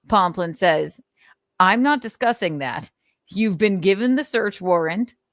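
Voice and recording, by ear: Against a quiet background, the text is read aloud in a natural voice.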